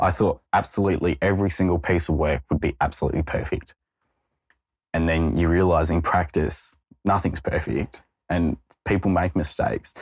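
A somewhat breathy man's voice with an Australian accent, very deep and low in pitch, with fairly even intonation, in a very clean recording over a silent background. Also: moderate pace, very even loudness. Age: 20s. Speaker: junior lawyer. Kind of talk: interview testimony.

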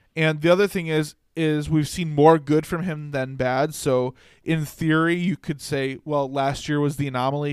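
In a very clean recording with a silent background, a man with an ordinary speaking voice and a fairly high pitch speaks at a moderate pace with fairly even intonation. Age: 20s. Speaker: sports podcast co-host. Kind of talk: casual chat.

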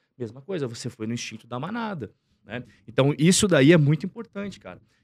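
A man speaks, his pitch swinging very widely. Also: dry, close sound with no echo. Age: 30s. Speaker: investor and finance content creator. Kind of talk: casual interview chat.

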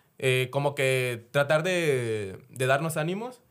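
A man with a normal speaking voice talks at a medium pitch with ordinary pitch variation, recorded very cleanly against a silent background. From Mexico, Chiapas. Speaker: former cinema employee. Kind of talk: casual chat.

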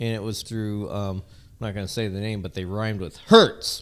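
A man's fairly low voice with an American accent, fairly even intonation and a moderate pace. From Southern California. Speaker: podcast co-host. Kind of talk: casual chat.

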